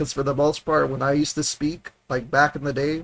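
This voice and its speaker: A man with an American accent, a relaxed tone and a moderate pace. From South Texas. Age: 30s. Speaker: streamer. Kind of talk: casual chat. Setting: livestream, home. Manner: relaxed, informal. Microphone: audio clear, not too close to mic.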